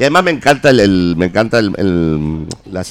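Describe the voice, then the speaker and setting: A man speaks with a fairly low pitch. His intonation is lively. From Argentina. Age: 50s. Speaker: punk rock musician. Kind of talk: radio interview. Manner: halting.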